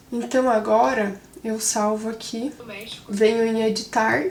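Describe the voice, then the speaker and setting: Noticeable background noise sits behind a woman who speaks at a fairly high pitch in monotone, flat intonation. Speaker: content creator / influencer. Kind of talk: vlog / behind-the-scenes tutorial. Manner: can sound a bit serious.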